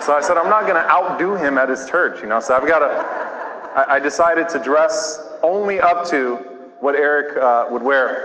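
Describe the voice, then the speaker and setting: Speaking at a moderate pace in an American accent, a man with a fairly high pitch and ordinary pitch variation is heard over noticeable background noise and audible room echo. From US South, New Orleans. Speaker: imam. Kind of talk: lecture. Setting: church with audience.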